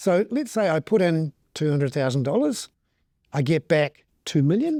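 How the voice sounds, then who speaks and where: A man with a New Zealand accent speaks with lively intonation and a dark, mellow tone. The sound is dry and close, with no echo. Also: very clean recording, silent background. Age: 50s. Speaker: economic commentator. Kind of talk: interview. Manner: conversational, with filler words.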